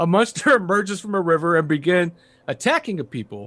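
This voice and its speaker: Speaking with an American accent, a man has a high pitch. His pace is moderate. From Chicago.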